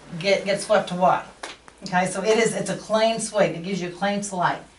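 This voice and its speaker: A woman at medium pitch with a Texan accent, audible room echo and light background noise. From Texas. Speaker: workshop speaker and candle seller. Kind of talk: talk to a small audience. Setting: live talk to small audience. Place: shop. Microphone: camera far.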